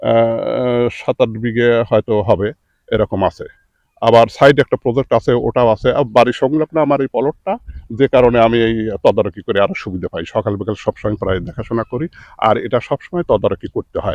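This man has an ordinary speaking voice, pitched at a medium level with ordinary pitch variation. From Bangladesh, Pabna district. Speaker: onion seed farmer and seller. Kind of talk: field interview.

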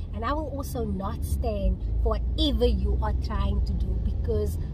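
A woman's voice comes through dry, with no echo. Loud background noise is present. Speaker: vlogger. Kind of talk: casual vlog chat. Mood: frustrated, indignant storytelling. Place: car. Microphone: phone near.

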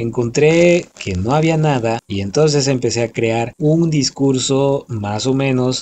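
Dark and mellow in tone, the voice moves at a fairly slow pace with ordinary pitch variation over light background noise. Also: man. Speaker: voice-over announcer. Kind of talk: casual talk to listeners. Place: studio. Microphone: phone near.

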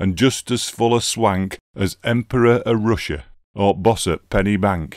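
A man with a Yorkshire accent in a very clean recording with a silent background and a dry, close sound with no echo. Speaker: poetry reader. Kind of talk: dialect poetry reading.

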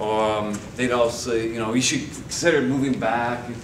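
A man with a Canadian accent, moderate pace and fairly even intonation, over noticeable background noise. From Winnipeg, Manitoba, Canada. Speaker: guest. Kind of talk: lecture. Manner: halting. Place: classroom. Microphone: camera far.

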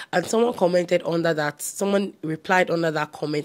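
An unremarkable speaking voice moves at a fairly quick pace with fairly even intonation. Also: woman. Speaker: home decor vlogger. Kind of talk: casual vlog chat. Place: home room. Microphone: lapel.

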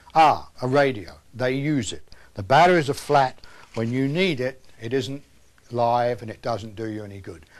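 A British-accented man, in a British accent, speaks at a fairly slow pace with ordinary pitch variation. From England. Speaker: earthquake survival instructor. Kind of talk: instructional presentation. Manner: homespun, conversational. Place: studio.

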